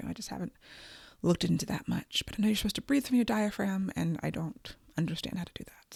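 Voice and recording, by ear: A woman's gravelly, put-on character voice at medium pitch, very fast, with big swings in loudness and a dry, close sound with no echo.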